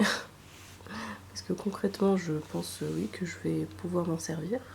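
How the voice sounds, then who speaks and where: Soft-spoken, the speaker talks at a very slow pace. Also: woman. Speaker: ASMR creator. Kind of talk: ASMR unboxing.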